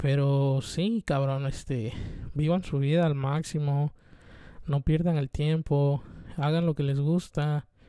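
A man's fairly high, dark, mellow voice at a very slow pace, with fairly even intonation and very even loudness. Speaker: vlogger. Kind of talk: casual monologue.

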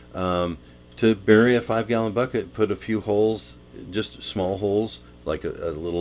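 In a very clean recording with a silent background, a man with an ordinary speaking voice talks at a moderate pace with ordinary pitch variation. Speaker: radio garden show co-host. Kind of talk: casual radio chat. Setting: studio.

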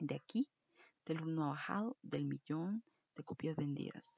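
This woman speaks with a fairly low pitch. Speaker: podcast host. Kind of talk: casual monologue. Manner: animated.

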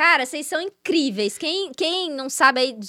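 A raised, projected woman's voice, bright and sharp in tone. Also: dry, close sound with no echo. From Brazil, Ribeirão Preto. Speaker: model. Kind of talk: casual chat.

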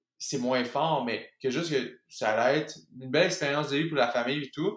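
A man speaks with a Quebec accent and ordinary pitch variation. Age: 30s. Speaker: professional hockey player. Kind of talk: casual chat.

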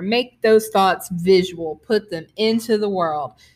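On a very clean recording with a silent background, a woman of medium pitch speaks with a Southern US accent at a fairly slow pace and ordinary pitch variation. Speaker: podcast host and poet. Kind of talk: podcast introduction; poetry reading.

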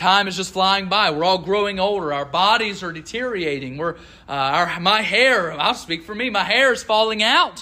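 Raised and projected, a man's high, bright, sharp voice moves at a moderate pace with ordinary pitch variation and audible room echo. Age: 20s. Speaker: preacher. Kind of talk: sermon. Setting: church.

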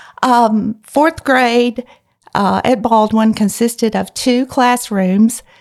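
A woman with a Mississippi accent and fairly high pitch, very slow in pace, her loudness very even and her intonation fairly even. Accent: Southern US (Mississippi). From US South, rural northeast Mississippi. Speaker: church music leader. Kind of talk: interview about faith and life. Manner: halting, many fillers.

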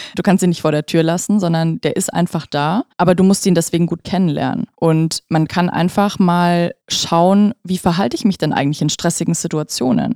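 A woman speaks at a moderate pace with hardly any pauses, her pitch fairly low and its variation ordinary. Her tone is dark and mellow, and the sound is dry and close with no echo. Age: 20s. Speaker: stress management coach. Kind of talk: podcast interview.

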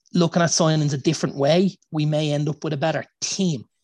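An Irish accent at a moderate pace with fairly even intonation, in a dry, close sound with no echo. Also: man. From Ireland. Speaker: football podcast co-host. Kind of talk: casual chat.

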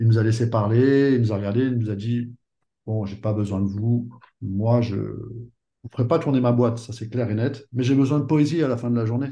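A man speaks in a medium pitch with a dark, mellow, somewhat breathy tone and fairly even intonation. He keeps a moderate pace broken by long, frequent pauses. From Paris, France. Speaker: perfume brand co-founder. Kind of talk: interview.

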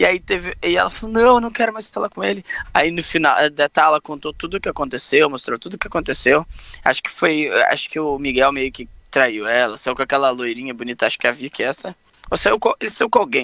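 At a very fast pace, a man speaks in a bright, sharp tone with very wide pitch swings and a dry, close sound with no echo. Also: fairly high pitch for a man. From Pelotas, southern Brazil. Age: 30s. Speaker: podcast co-host. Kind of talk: casual chat.

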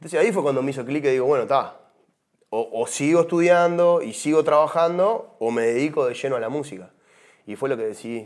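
A man with a fairly high pitch speaks fairly quickly with lively intonation, on a very clean recording against a silent background. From Uruguay. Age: 40s. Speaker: former tropical music singer. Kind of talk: testimony. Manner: hesitant, repeats words.

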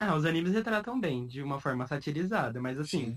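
Speaking at a fairly quick pace, a man has a fairly high pitch and an unremarkable speaking voice. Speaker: podcast host. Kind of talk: casual chat.

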